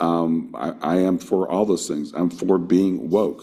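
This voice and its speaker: Fairly even in intonation, a man speaks with a very deep, low pitch and a dark, mellow tone. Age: 60s. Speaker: workshop panelist on spiritual activism. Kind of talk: workshop talk. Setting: video call.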